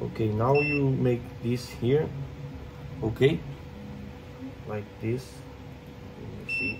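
Through loud background noise, a man with a non-native accent speaks at a very slow pace with long, frequent pauses. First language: not English. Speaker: 3D printing maker and content creator. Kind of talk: tutorial. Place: workshop. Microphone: phone near.

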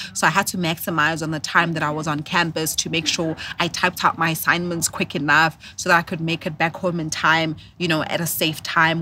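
Here a woman with a South African accent speaks at a fairly quick pace, her pitch fairly low and her tone bright and sharp. Her intonation is monotone and flat, the sound is dry with no echo, and there is light background noise. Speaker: corporate professional and entrepreneur; podcast guest. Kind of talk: casual interview. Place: garden. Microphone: studio mic.

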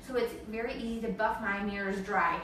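With light background noise and audible room echo, a woman talks at a moderate pace. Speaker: home cleaning demonstrator. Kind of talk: tutorial. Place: bathroom. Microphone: camera far.

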